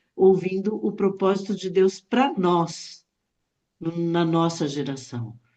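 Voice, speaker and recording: A woman's lively intonation plays out at a very slow pace. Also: medium pitch for a woman. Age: 60s. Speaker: Bible study participant. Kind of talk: Bible study discussion. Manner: casual.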